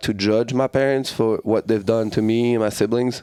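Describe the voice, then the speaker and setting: Using a French accent, a man speaks at a medium pitch and moderate pace with fairly even intonation. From France. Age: 30s. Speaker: martial arts fighter and coach. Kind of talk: casual chat.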